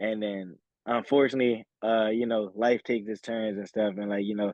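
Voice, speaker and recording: Flat and monotone, a man's fairly low voice moves at a fairly quick pace. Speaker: college football player, draft prospect. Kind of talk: interview. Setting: video call. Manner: talkative, rambling; relaxed, casual.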